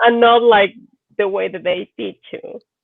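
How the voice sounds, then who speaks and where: Speaking with a Mexican accent, a woman uses a medium pitch with ordinary variation. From Mexico. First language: Spanish. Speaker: doctor and movie translator. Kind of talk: casual chat.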